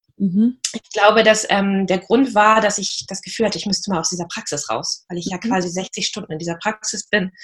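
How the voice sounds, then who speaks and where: A somewhat breathy voice at a fairly quick pace, fairly even in intonation, with hardly any pauses. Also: woman, medium pitch for a woman. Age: 40s. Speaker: practice and marketing manager. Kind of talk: interview.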